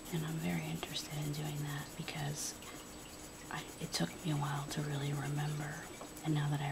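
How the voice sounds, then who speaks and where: Whispering and soft-spoken at a fairly quick pace, the voice comes through noticeable background noise. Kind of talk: ASMR whispered rambling. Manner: whispered, soft-spoken.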